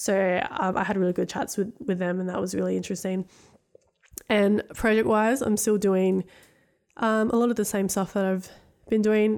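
With an Australian accent, a woman speaks at a moderate pace and a medium pitch. Her intonation is monotone and flat, broken by long, frequent pauses. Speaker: podcast host. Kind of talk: casual interview.

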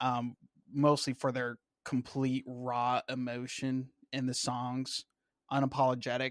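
A man's medium-pitched, monotone, flat delivery in a dry, close sound with no echo, very clean against a silent background. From Washington State, US. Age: 20s. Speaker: Navy veteran and YouTuber. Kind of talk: casual interview chat.

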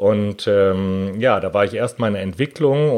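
Using a normal speaking voice, a man talks at a fairly slow pace and a fairly low pitch, with ordinary pitch variation. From Germany, Hanover. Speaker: patent attorney. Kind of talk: interview.

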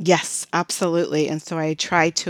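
A woman with an American accent speaks in a very deep, low pitch and fairly even intonation. The recording is very clean with a silent background, and the sound is dry and close with no echo. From US Midwest, Chicago. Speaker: corporate training manager. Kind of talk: interview.

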